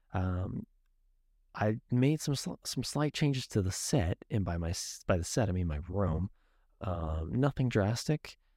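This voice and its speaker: The voice has a dark, mellow tone with very wide pitch swings. The sound is dry and close with no echo, on a very clean recording with a silent background. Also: man, fairly low pitch for a man, fairly slow pace. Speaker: podcast host. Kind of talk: casual solo podcast monologue. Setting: home video podcast in bedroom. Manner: casual, many filler words.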